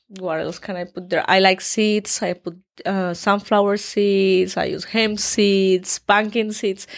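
Speaking with a Colombian accent, a woman keeps a medium pitch and a monotone, flat intonation at a fairly slow pace. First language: Spanish. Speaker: fitness influencer. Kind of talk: interview. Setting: studio.

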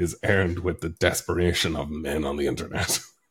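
A somewhat breathy voice with an Irish accent at a moderate pace. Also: man. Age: 30s. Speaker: author. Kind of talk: casual chat.

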